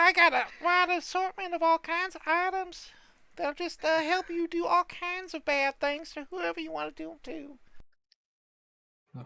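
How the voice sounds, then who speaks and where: An extremely high-pitched, put-on character voice speaks with long, frequent pauses. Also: moderate pace. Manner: shady, sly.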